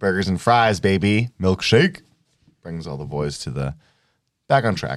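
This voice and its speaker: A man with a very deep, low voice speaks in an animated tone with lively intonation. His loudness swings widely, and he leaves long, frequent pauses. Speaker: podcast co-host. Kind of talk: casual banter. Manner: joking, animated.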